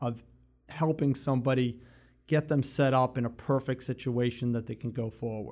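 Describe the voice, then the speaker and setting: A man with a plain, everyday voice at medium pitch and a moderate pace, on a very clean recording with a silent background. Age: 50s. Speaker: addiction treatment provider. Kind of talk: casual chat.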